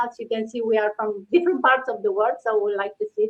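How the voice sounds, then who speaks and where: Speaking in a Romanian accent, a woman uses a fairly high pitch and lively intonation. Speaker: online business host. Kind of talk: casual chat. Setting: livestream.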